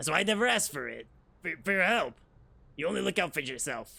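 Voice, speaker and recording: A raspy, put-on character voice from a man, fairly high pitched with very wide pitch swings, at a very fast pace. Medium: game stream. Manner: shaky, halting, stammering.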